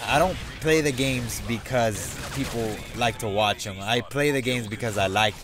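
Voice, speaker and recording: A man with an American accent speaks at a medium pitch with ordinary pitch variation. Noticeable background noise runs under the recording. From Mexican American, US. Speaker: gaming YouTuber. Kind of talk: casual vlog. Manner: loud, screaming; animated.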